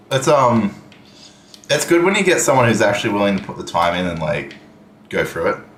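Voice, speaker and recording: This man's medium-pitched voice swings very widely in pitch, broken by long, frequent pauses. Noticeable background noise and audible room echo fill the recording. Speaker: gaming streamer. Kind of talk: live gameplay stream chat. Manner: casual, hesitant with fillers.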